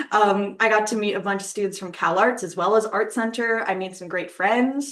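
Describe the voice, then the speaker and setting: With an American accent and a normal speaking voice, a woman talks at a moderate pace and medium pitch with fairly even intonation against a quiet background. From Michigan, US Midwest. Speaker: art student. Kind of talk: student presentation. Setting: live webinar.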